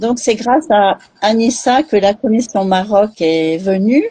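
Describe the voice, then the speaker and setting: A woman speaks at a very slow pace with a dark, mellow tone. Her intonation is lively. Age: 60s. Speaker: charity president. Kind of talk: live interview. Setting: online live stream.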